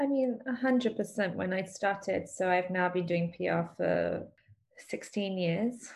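A woman with a London accent speaks at medium pitch with ordinary pitch variation. Her voice is somewhat breathy. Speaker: PR agency owner. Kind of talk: casual interview.

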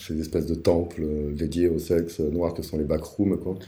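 Vocal fry runs through a dark, mellow tone, with audible room echo around it. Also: man. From Paris suburbs, France. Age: 40s. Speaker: podcast guest sharing life story. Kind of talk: personal testimony interview. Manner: hesitant, many fillers.

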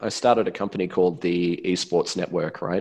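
The man speaks with an Australian accent at a moderate pace. The background is quiet. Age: 30s. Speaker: influencer manager. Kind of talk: interview. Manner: halting, many fillers and repeated words.

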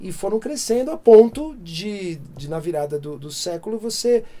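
A man speaks with a dark, mellow tone. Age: 50s. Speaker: music producer. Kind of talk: interview. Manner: halting.

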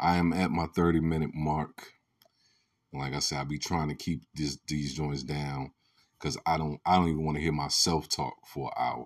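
A man speaks at a very deep, low pitch and a moderate pace. His intonation is monotone and flat on a very clean recording with a silent background. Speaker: podcast host. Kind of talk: solo commentary monologue. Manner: passionate, rising voice.

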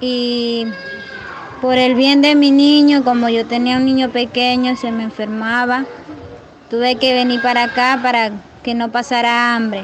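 There is noticeable background noise as a woman speaks with a high pitch. Her intonation is monotone and flat, broken by long, frequent pauses. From Venezuela. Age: 20s. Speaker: migrant. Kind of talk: testimony. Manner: halting.

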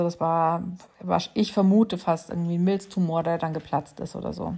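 In a very clean recording with a silent background, a woman with a fairly low pitch and a dark, mellow tone speaks at a moderate pace in a flat monotone. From Bavaria, Munich. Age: 40s. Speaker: podcast host. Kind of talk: personal monologue. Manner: hesitant with filler sounds.

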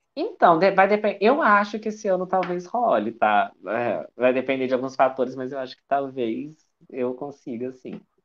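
Hardly pausing, a man with a fairly high voice speaks with very wide pitch swings and big swings in loudness. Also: moderate pace. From Minas Gerais, Juiz de Fora. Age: 20s. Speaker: writer. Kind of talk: casual interview. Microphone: improvised setup, phone without usual headset.

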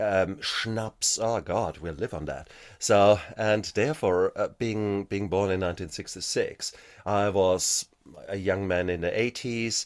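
A man with a fairly low pitch and ordinary pitch variation at a fairly slow pace, on a very clean recording with a silent background. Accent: German. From Germany. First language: German. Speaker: anesthetist and author. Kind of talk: interview.

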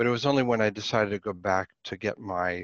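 An unremarkable speaking voice from a man, fairly low in pitch with ordinary variation, at a moderate pace, dry and close with no echo against a quiet background. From Pittsburgh, US. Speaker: professor. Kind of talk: interview.

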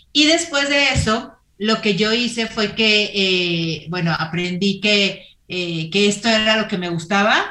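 A woman with a bright, sharp tone and medium pitch speaks at a very slow pace with lively intonation. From Mexico, Torreón, Coahuila. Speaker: entrepreneur and running platform founder. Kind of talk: interview.

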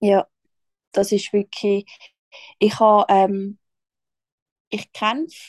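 A woman with a fairly high pitch speaks at a fairly slow pace, the sound dry and close with no echo. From Switzerland. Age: 20s. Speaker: social worker and small business founder. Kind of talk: casual chat.

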